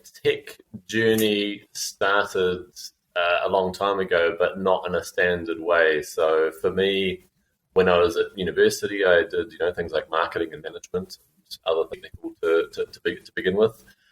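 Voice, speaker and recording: At a moderate pace, a man with a New Zealand accent speaks with big swings in loudness. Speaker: fintech founder and CEO. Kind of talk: podcast interview. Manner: halting, many fillers and repeats.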